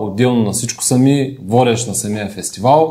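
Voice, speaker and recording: A man talks at medium pitch in a dark, mellow tone. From Bulgaria, Ruse. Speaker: event host and auto parts trader. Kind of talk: casual podcast chat.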